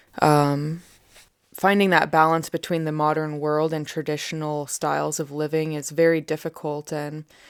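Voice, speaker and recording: A woman speaks with an American accent in a very deep, low pitch, her intonation monotone and flat at a moderate pace. The recording is very clean with a silent background. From USA. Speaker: bushcraft and wilderness instructor. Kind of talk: interview.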